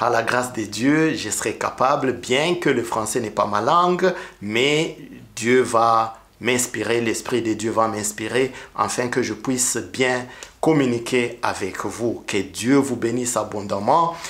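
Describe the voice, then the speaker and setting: Speaking at a very slow pace, a man keeps his voice at a medium pitch. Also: ordinary pitch variation. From Rwanda. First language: Kinyarwanda (speaking French). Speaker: preacher. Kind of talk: testimony. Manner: halting.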